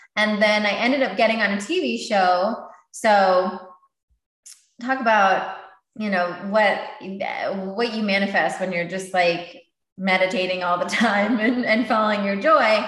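A woman speaks slowly-ish at a medium pitch with ordinary pitch variation, leaving long, frequent pauses. Audible room echo surrounds the voice. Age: 30s. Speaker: meditation teacher and author. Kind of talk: casual chat.

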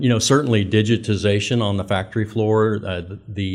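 This man has an ordinary speaking voice with an American accent and fairly even intonation. He talks at a fairly quick pace in a very clean recording with a silent background. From Kansas, Winfield. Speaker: manufacturing executive. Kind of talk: interview.

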